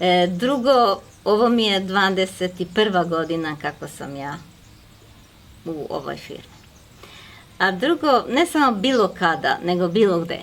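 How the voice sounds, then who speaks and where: Long, frequent pauses break up a woman's medium-pitched speech. Her intonation is lively, with big swings in loudness. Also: fairly slow pace. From Serbia. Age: 60s. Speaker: network marketing manager. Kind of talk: interview.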